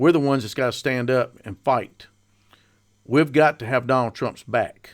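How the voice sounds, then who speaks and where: Speaking with a Southern accent, a man uses a medium pitch, ordinary pitch variation and a moderate pace. The recording is very clean, with a silent background. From North Carolina, Mount Airy area. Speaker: political podcaster and activist. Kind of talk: political monologue. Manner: informal, folksy.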